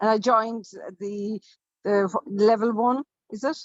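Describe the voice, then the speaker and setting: A woman with an Irish accent, medium-pitched, with fairly even intonation. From Ireland. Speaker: writer, coaching client. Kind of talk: casual chat. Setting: video call from a hotel. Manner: quiet; halting.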